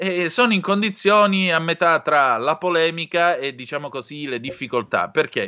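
Hardly pausing, a man talks with lively intonation. His pitch sits high. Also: moderate pace. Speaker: radio host. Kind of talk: radio talk show hosting; news reading. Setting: radio studio. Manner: theatrical.

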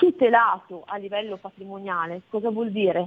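A woman at a fairly slow pace. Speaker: trust consultant. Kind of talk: interview. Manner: explanatory.

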